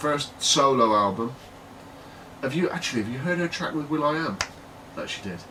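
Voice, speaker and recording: Speaking in a British accent at a moderate pace, a fairly high-pitched man uses lively intonation and long, frequent pauses amid audible room echo and noticeable background noise. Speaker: podcast co-host. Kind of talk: casual chat.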